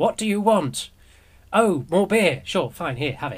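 A man speaks with an English accent. His pitch is high, and his pace is moderate. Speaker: community radio host. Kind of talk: news commentary, casual and sarcastic. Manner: rambling, with many fillers.

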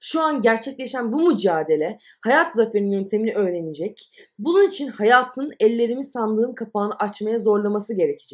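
A woman speaks in an ordinary speaking voice at a moderate pace, her fairly high pitch carrying lively intonation with hardly any pauses. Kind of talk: audiobook reading of absurdist short stories.

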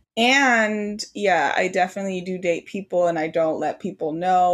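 A woman speaks fairly slowly at a fairly low pitch, with ordinary pitch variation. It is a normal speaking voice. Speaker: astrologer and tarot reader, podcast host.

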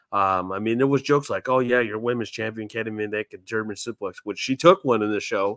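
A man talks at a fairly quick pace with a medium pitch and fairly even intonation, in a plain, everyday voice. The sound is dry and close with no echo, on a very clean recording with a silent background. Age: 30s. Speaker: wrestling podcast co-host. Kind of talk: casual chat.

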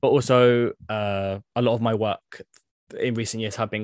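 A man with a British accent speaks in a fairly low, monotone voice with flat intonation. The sound is dry and close with no echo, over a quiet background. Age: 20s. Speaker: civil servant and housing campaigner. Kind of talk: interview conversation.

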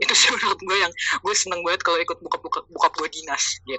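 A woman speaks over noticeable background noise. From Jakarta, Indonesia. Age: 20s. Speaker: content creator. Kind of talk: casual chat. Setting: remote call.

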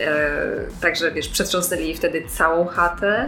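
A woman's fairly quick speech comes with audible room echo and noticeable background noise. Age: 30s. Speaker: activist. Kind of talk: casual chat.

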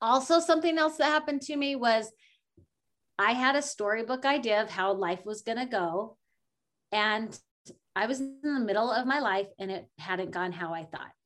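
Over a quiet background, a woman with an unremarkable speaking voice talks at a moderate pace, fairly high in pitch with lively intonation. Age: 40s. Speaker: life coach and podcaster. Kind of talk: interview conversation.

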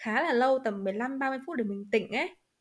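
Her pitch fairly high, a woman talks with pitch that varies in an ordinary way. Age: 20s. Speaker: podcast co-host. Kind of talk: casual chat.

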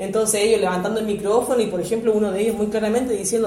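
Against noticeable background noise and audible room echo, a woman with a Chilean accent speaks in a fairly high voice. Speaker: educational psychologist. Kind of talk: interview. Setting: at her home.

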